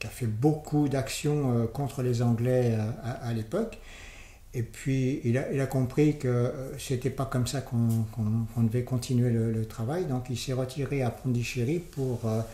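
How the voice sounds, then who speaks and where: A man speaks at a fairly slow pace with a dark, mellow tone, a somewhat breathy quality and fairly even intonation. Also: medium pitch for a man. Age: 70s. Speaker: interview guest, former long-time resident of an Indian community. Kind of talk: interview. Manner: halting, many hesitations and repetitions.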